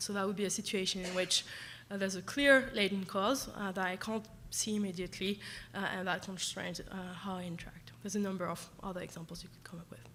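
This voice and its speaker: A medium-pitched woman's voice at a very fast pace, with fairly even intonation and audible room echo. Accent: French. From France. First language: French. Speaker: professor. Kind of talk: lecture. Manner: halting, many fillers.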